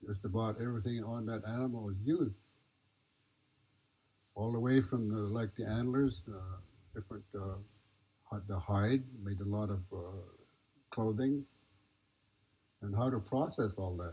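A man talks at a moderate pace in a fairly low pitch, with a dark, mellow tone and a somewhat breathy quality. His pitch variation is ordinary, and he leaves long, frequent pauses. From Nez Perce. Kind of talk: talk to an audience. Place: tent.

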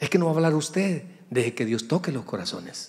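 In a Salvadoran accent, a man speaks with lively intonation and a fairly high pitch. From El Salvador, San Miguel; El Salvador. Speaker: pastor. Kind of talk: sermon. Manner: animated. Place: church. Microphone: handheld.

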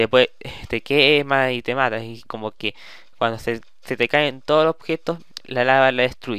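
A man speaks in a bright, sharp tone. His pace is moderate and his pitch variation ordinary. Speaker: gaming YouTuber. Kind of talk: tutorial. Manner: halting.

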